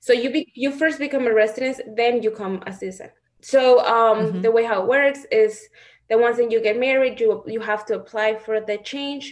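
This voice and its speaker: Speaking with a Spanish accent, a woman keeps a fairly high pitch. Her intonation stays fairly even at a moderate pace. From Mexico (Guanajuato). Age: 20s. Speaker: reality TV participant and model. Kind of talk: interview.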